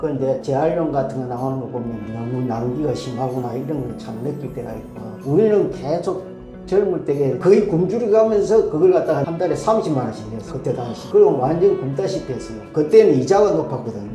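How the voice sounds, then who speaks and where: A man speaks at a fairly high pitch with very wide pitch swings and big swings in loudness. Music plays in the background, and the room echo is audible. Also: fairly quick pace. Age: 70s. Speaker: retired steelworker. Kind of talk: street interview. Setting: outdoors.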